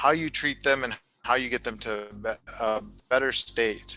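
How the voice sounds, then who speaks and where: A man talks in a bright, sharp tone with ordinary pitch variation. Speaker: talk show host, doctor. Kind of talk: live-streamed interview. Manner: fast.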